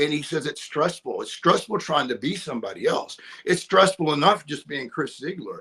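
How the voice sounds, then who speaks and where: A man speaks with an East Texas accent at a moderate pace. His tone is bright and sharp, his pitch fairly high. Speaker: actor. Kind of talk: casual interview chat.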